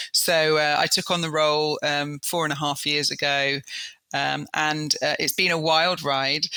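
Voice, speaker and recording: Speaking at a fairly slow pace in an English accent, a woman has a very deep, low pitch, a bright, sharp tone, and monotone, flat intonation. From Southeast England. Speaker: business executive. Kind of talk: interview. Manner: many fillers and hesitations.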